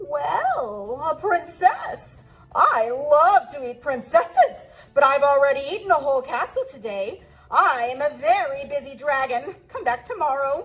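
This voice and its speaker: A woman speaks in a put-on character voice at a high pitch. Her pace is moderate. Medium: read story.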